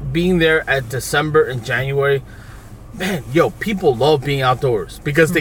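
Noticeable background noise sits behind a speaker with an American accent who talks at a moderate pace with ordinary pitch variation. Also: man. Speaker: podcast host. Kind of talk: casual banter chat. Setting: in a car. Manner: crude, joking, talkative.

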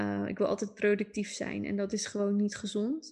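Over a quiet background, a woman speaks at a medium pitch in a monotone, flat way. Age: 20s. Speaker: astrologer. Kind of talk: casual interview chat.

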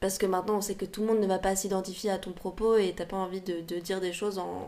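A woman speaks at a medium pitch with a dark, mellow tone. Her intonation is monotone and flat. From Paris, France. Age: 20s. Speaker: singer-songwriter. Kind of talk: casual interview. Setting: podcast recording. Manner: hesitant, many fillers.

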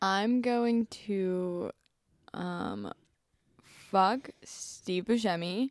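A woman with an American accent talks very slowly at a medium pitch, leaving long, frequent pauses, in a dry, close recording with no echo. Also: ordinary pitch variation. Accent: doesn't sound like a Pittsburgh local. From Pittsburgh, US. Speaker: podcast guest. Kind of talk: casual chat.

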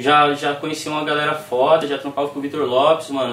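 A man with a fairly high pitch talks at a fairly quick pace. The recording has audible room echo and noticeable background noise. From Recife, Brazil, raised in São Paulo state. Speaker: rapper. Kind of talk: casual chat.

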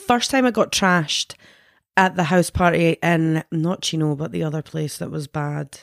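A woman speaks at a fairly low pitch in a Scottish accent. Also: ordinary pitch variation, moderate pace, dry, close sound with no echo, very clean recording, silent background. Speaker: podcast co-host. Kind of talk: casual chat.

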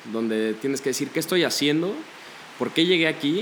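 A man talks at a fairly quick pace with lively intonation. His pitch is fairly high, and there is noticeable background noise. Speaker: psychology student. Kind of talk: casual chat.

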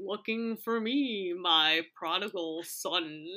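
Speaking very slowly in a put-on character voice, a woman uses a medium pitch with ordinary pitch variation. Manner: slow, drawn out, ominous.

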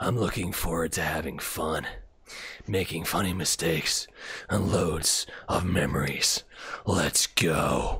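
A man's put-on character voice, very deep and low and raspy, at a fairly slow pace with long, frequent pauses and very even loudness

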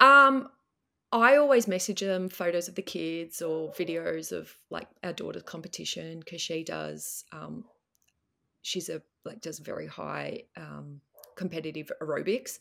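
On a very clean recording with a silent background, a woman with an Australian accent speaks at a fairly slow pace with big swings in loudness. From Melbourne, Australia. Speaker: guest dealing with husband leaving.

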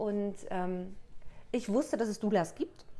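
With a dark, mellow tone, a woman talks at a medium pitch and ordinary pitch variation. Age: 30s. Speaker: coach and author. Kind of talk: casual interview.

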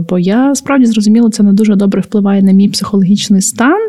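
Somewhat breathy and dark, mellow in tone, a woman speaks at a moderate pace with a medium pitch. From Ukraine, Podillia (Khmelnytskyi area). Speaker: podcast co-host. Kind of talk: casual chat.

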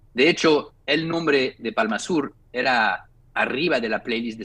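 A man speaks in a bright, sharp tone. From France, Paris. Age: 40s. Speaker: record label founder. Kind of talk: interview. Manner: halting.

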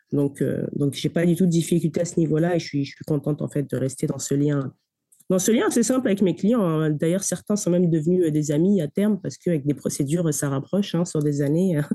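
A woman's dark, mellow voice at a fairly low pitch, fairly quick pace and ordinary pitch variation. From Paris suburbs, Seine-Saint-Denis (93). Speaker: lawyer. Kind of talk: interview. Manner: hesitant, with frequent repetitions.

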